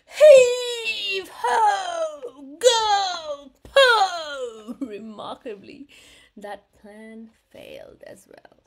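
A woman with a gentle, warm tone whose pitch swings very widely. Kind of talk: bedtime story read-aloud for children. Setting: video read-aloud of a picture book to viewers. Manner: warm, animated, expressive storyteller with playful sound effects and laughs; gentle, sing-song, with affirming interjections like 'mm-hmm'.

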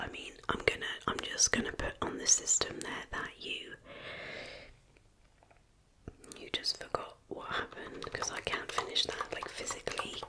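A soft-spoken, whispering woman at a moderate pace, with big swings in loudness and long, frequent pauses. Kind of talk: ASMR roleplay, soft spoken. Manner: close soft whisper, exasperated. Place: home room.

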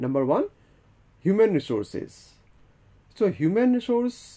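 A man's dark, mellow tone at a moderate pace, with very wide pitch swings, against a quiet background. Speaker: lecturer. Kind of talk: lecture. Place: studio. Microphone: lapel.

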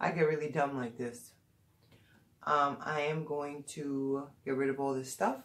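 At a moderate pace, a woman is speaking. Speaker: beauty vlogger. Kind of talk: casual product review vlog. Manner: hesitant, many fillers. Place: home room. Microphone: phone near.

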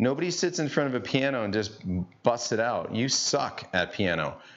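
Moderate pace and medium pitch from a male speaker

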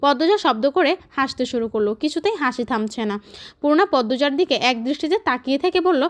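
In a very clean recording with a silent background, the sound is dry and close with no echo. A woman speaks in a high pitch with very wide pitch swings. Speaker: audiobook narrator. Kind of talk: reading aloud of a novel.

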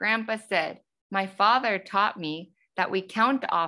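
Someone is reading aloud in a natural voice with ordinary pitch variation over a quiet background.

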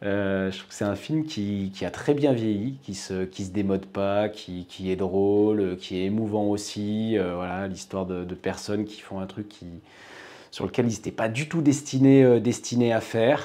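With a dark, mellow tone and fairly low pitch, a man speaks at a fairly slow pace with ordinary pitch variation. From Auvergne, France (Haute-Loire); Auvergne, France. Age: 30s. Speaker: company president. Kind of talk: self-introduction video. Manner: hesitant, many fillers. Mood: relaxed, smiling. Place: office.

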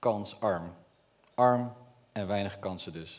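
The pace is very slow. A man talks with ordinary pitch variation. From Netherlands, Brabant; Netherlands. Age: 30s. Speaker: entrepreneur; speaker. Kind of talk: public speech. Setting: stage with audience. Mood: earnest, personal storytelling. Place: stage. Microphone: headset.

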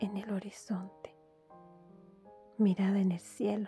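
With music in the background, a woman at medium pitch speaks in a calm tone and a monotone, flat intonation. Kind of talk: poetry reading. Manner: soft-spoken, calm, slow.

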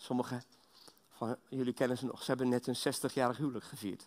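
A man speaks here. His pace is moderate. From Belgium. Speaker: guest preacher. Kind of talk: sermon. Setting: church. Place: church.

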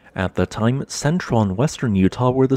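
Fairly quick speech from a man at medium pitch, very wide pitch swings, and a dry, close sound with no echo. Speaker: educational channel narrator. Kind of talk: scripted documentary-style narration. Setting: studio voiceover. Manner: even, measured, formal; steady explanatory pacing.

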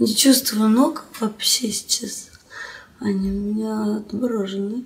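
A woman speaks at a very slow pace. Her intonation stays fairly even. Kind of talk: casual remarks to the person filming. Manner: drowsy, slurred post-anaesthesia voice. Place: home room.

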